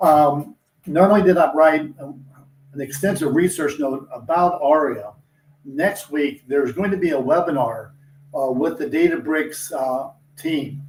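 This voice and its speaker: A man with a plain, everyday voice speaks at a fairly high pitch. His pitch variation is ordinary. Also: fairly slow pace. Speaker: industry analyst. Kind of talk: interview discussion.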